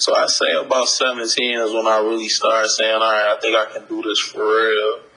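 Noticeable background noise is present throughout. A man speaks over it at a moderate pace. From Detroit, US Midwest. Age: 30s. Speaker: hip hop artist. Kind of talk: interview. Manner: halting.

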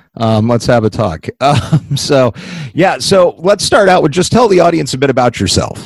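At a moderate pace, the voice swings very widely in pitch yet keeps very even loudness, with a dry, close sound with no echo and noticeable background noise. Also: man, fairly high pitch for a man. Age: 40s. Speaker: podcast host and writer. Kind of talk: casual interview; scripted intro.

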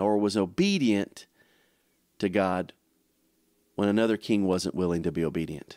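A man's fairly low, dark, mellow voice at a moderate pace, on a very clean recording with a silent background. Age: 50s. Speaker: pastor. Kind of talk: sermon. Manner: halting, with many fillers and repetitions.

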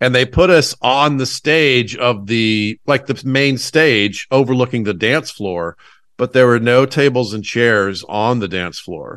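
A man with an American accent uses an ordinary speaking voice at a medium pitch, with ordinary pitch variation at a fairly slow pace. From US South, Atlanta. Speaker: stand-up comedian. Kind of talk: casual chat.

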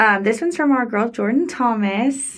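A woman with a fairly high pitch and a plain, everyday voice speaks at a moderate pace with ordinary pitch variation, on a very clean recording with a silent background. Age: 20s. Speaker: wedding photographer and podcast co-host. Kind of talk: casual chat.

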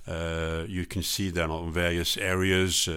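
Very deep, low male pitch in a monotone, flat delivery, on a very clean recording with a silent background. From France, Strasbourg. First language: French. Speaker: intercultural trainer and consultant. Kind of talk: interview. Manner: hesitant, many fillers.

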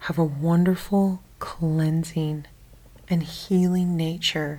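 Calm and somewhat breathy, a woman speaks at a very slow pace in a fairly low voice with monotone, flat intonation. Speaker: meditation guide. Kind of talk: guided sleep meditation. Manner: slow, calm, soft-spoken.

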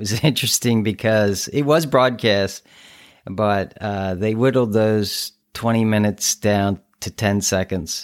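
Against a silent background in a very clean recording, a man talks in a normal speaking voice at a fairly slow pace, with fairly low pitch and ordinary pitch variation. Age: 60s. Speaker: podcast host and ultra runner. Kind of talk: casual interview.

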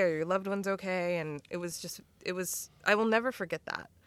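The recording is very clean, with a silent background. A woman with an ordinary speaking voice and a medium pitch talks at a moderate pace. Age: 40s. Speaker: communications firm president. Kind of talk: casual chat.

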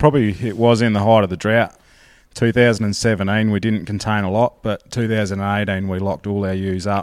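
Spoken at a moderate pace with fairly even intonation, this Australian-accented voice comes through on a very clean recording with a silent background. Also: man, fairly low pitch for a man. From South Australia, mid north. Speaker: sheep farmer. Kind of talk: interview. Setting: shearing shed.

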